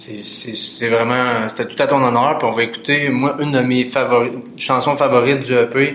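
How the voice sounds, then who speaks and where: This man speaks with a Quebec accent in a monotone, flat intonation at a moderate pace. Noticeable background noise can be heard. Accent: Québécois French. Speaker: podcast host. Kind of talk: casual interview.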